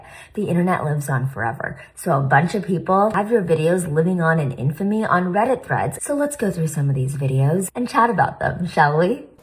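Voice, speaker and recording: Fairly low for a woman, her voice swings very widely in pitch as she speaks at a fairly quick pace with hardly any pauses, with noticeable background noise behind her. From India. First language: not English. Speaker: plastic surgeon and commentary creator. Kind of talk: reaction commentary.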